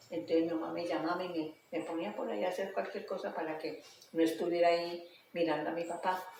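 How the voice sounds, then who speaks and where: Amid noticeable background noise and audible room echo, a woman speaks in a fairly low pitch with monotone, flat intonation. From Colombia, coffee region (Quindío). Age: 80s+. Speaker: interviewee, elderly woman. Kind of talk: interview, life story. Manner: halting.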